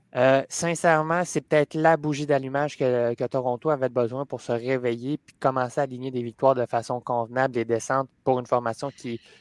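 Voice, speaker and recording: A man uses an ordinary speaking voice at a medium pitch, his intonation fairly even. The sound is dry and close, with no echo. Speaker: hockey panelist. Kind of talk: casual sports panel chat.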